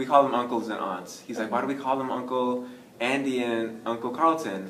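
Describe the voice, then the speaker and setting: With an American accent, a man speaks at a moderate pace in a medium pitch and fairly even intonation, with noticeable background noise and audible room echo. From US, New York (Bronx). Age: 20s. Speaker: adoptee interviewee, student. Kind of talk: casual interview.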